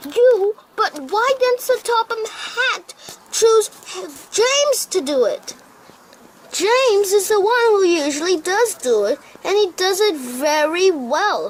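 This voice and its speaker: The put-on character voice sits at an extremely high pitch. It moves at a fairly slow pace. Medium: read story.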